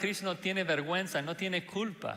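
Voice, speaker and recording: With a non-native accent, a male voice is heard. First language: not Spanish (speaking Spanish). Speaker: pastor. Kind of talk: sermon. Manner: hesitant with fillers.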